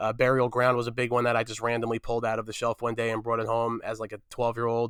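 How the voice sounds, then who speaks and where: A man with a New Jersey accent talks at a very fast pace in monotone, flat intonation. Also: medium pitch for a man. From New Jersey, Fair Lawn. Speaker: film journalist guest. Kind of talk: casual chat.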